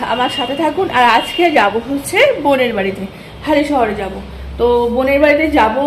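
A woman talks in a high pitch. Noticeable background noise runs underneath. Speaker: home vlogger. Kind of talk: casual vlog chat. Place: home room. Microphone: phone near.

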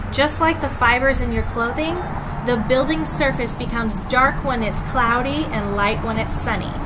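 Loud background noise sits behind the speaker. A woman talks at a moderate pace. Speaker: teacher reading to students. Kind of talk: read-aloud with commentary. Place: garden. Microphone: webcam.

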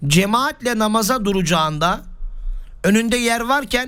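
A bright, sharp tone at a fairly slow pace. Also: man. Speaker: Islamic preacher. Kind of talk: religious lesson.

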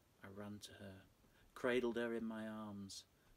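A man with a fairly low pitch talks at a fairly slow pace against light background noise. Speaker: storyteller. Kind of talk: dramatic story reading. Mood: dark, hushed, suspenseful. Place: home room.

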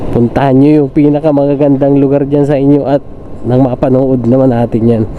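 Against noticeable background noise, a man speaks at a moderate pace and medium pitch with monotone, flat intonation. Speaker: motovlogger, tricycle driver. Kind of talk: casual vlog narration while riding. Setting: on a motorcycle, outdoors. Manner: chatty, filler-heavy. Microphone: phone with clip-on mic under helmet.

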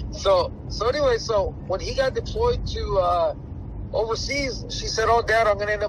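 A man is speaking against light background noise. The sound is dry, with no echo. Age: 40s. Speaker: boxing trainer. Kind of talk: interview. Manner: halting. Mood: relaxed, amused storytelling. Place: home room. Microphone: phone near.

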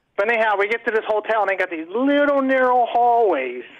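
Someone talks at a very fast pace over light background noise. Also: man. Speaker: caller. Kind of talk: casual chat. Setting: phone call. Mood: amused, joking. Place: studio. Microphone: studio mic.

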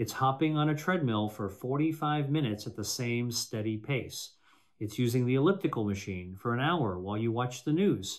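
With ordinary pitch variation, a man speaks at a moderate pace, the background quiet. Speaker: presenter. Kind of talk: scripted health talk to camera. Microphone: studio mic.

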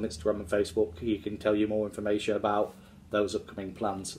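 A man's fairly low, somewhat breathy voice at a very fast pace. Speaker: actor talking about his film work. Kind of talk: casual vlog chat. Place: home room. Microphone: phone near.

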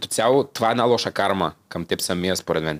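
In an unremarkable speaking voice, a man talks fairly quickly and with lively intonation. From Bulgaria, Svilengrad (southeast); Bulgaria. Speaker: singer and TikTok creator; TikTok creator. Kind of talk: casual interview chat. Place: studio. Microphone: studio mic.

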